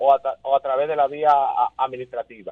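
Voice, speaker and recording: Lively intonation marks this man's speech. He talks at a fairly quick pace. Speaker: consumer rights lawyer. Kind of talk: radio interview. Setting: phone call.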